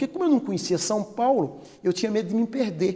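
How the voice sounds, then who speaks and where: Very wide pitch swings mark the dark, mellow voice of a man. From Bahia, northeastern Brazil. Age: 60s. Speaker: cosmetics company president. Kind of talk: interview testimony.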